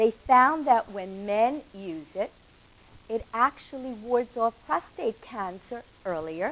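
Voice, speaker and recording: The speaker has a New York accent and lively intonation. The pace is fairly slow. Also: woman. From New York, Long Island. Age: 70s. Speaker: nutritional consultant. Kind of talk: lecture.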